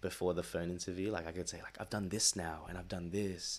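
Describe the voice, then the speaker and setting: The speaker has an Australian accent, heard in a very clean recording with a silent background. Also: man. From Sydney, Australia. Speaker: podcast host. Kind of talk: casual chat. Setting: home recording, laptop speakers.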